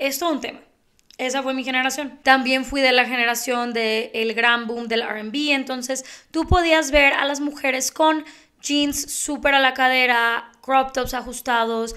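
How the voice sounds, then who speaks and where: Against a quiet background, a woman projects a raised voice with a bright, sharp tone, high pitch, fairly even intonation, and a fairly slow pace. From Mexico. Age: 30s. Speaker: beauty youtuber and podcast host; beauty youtuber, podcast host. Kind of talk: casual monologue. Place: home room. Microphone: handheld.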